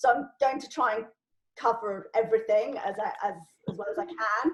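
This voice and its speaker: A woman with a plain, everyday voice, fairly high in pitch, with lively intonation, big swings in loudness and a moderate pace. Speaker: LinkedIn trainer. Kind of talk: informal online training Q&A. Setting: video call.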